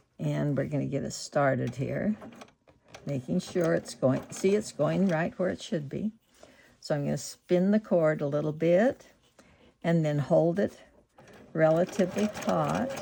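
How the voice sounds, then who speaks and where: Lively in intonation yet fairly slow, the voice has a dark, mellow tone with vocal fry and long, frequent pauses. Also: woman, very deep, low pitch for a woman. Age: 80s+. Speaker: sewing and art teacher. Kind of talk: sewing tutorial narration.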